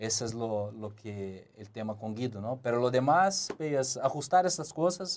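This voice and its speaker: With a Portuguese accent, a man speaks at a fairly slow pace with lively intonation and big swings in loudness. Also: medium pitch for a man. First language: Portuguese (speaking Spanish). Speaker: former footballer, football pundit. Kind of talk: casual sports analysis chat.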